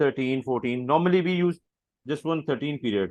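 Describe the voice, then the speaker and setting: The voice belongs to a man with ordinary pitch variation. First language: not English. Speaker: job candidate, finance software consultant. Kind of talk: job interview. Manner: halting, many fillers.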